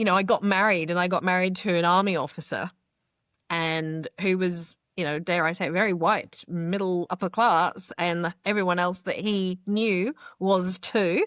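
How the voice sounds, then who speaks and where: With an English accent, a woman speaks at a medium pitch and a moderate pace. Her intonation is fairly even, and the background is quiet. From England, London. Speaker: PR and marketing business owner. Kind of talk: interview testimony. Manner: articulate, well-spoken.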